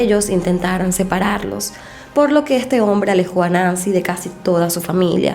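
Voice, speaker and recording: A woman of medium pitch at a moderate pace, with music in the background and audible room echo. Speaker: true crime youtuber. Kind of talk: true crime narration.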